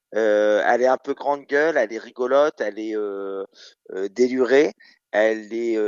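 A man speaks at a fairly slow pace with fairly even intonation. He leaves long, frequent pauses. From Normandy, France (Caen). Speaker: drag queen. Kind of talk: radio interview.

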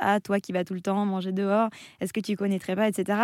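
A woman with a normal speaking voice, recorded very cleanly against a silent background, the sound dry and close with no echo. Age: 20s. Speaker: content creator and author. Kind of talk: radio interview. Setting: radio studio.

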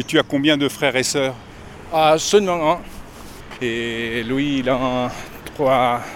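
Noticeable background noise sits behind a man speaking at a medium pitch with ordinary pitch variation. He goes at a very slow pace, with long, frequent pauses. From Mexico. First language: Spanish (speaking French). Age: 40s. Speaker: pilgrim. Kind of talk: interview. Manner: halting.

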